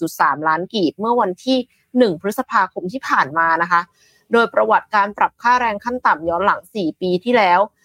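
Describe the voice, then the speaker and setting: This woman's voice has a bright, sharp tone at a medium pitch, with lively intonation. The sound is dry and close, with no echo. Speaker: news show co-host. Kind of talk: morning news talk show.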